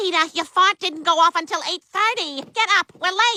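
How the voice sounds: A cartoonish character voice that sounds female, pitched extremely high for a woman and delivered at a moderate pace.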